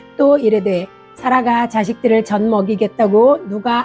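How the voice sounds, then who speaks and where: Fairly high-pitched woman's voice with fairly even intonation, music in the background. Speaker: church deaconess. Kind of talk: Bible reading.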